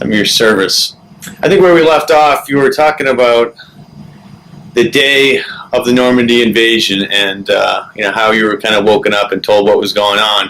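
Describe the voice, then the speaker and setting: Background noise is noticeable here. Over it, a man speaks at a medium pitch. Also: ordinary pitch variation, moderate pace. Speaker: interviewer. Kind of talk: interview question.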